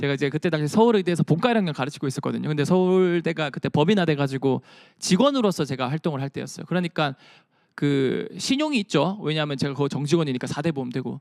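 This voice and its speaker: This man talks at a very fast pace with a fairly high pitch and ordinary pitch variation. The recording is very clean with a silent background and a dry, close sound with no echo. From Busan, South Korea. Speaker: science communicator. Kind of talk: lecture. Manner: animated.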